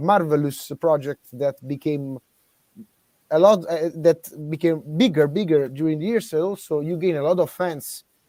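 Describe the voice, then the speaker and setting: Speaking at a fairly slow pace with an Italian accent, a man uses a fairly high pitch with ordinary pitch variation and a dark, mellow tone. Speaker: podcast interviewer. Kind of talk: interview. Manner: halting.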